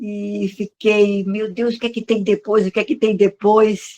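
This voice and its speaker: Her delivery is very slow, with medium pitch and monotone, flat intonation from this woman. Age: 70s. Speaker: online course student. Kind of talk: interview.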